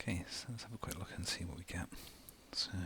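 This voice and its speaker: A man whispers in a relaxed tone. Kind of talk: ASMR unboxing narration. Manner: soft-spoken, relaxed.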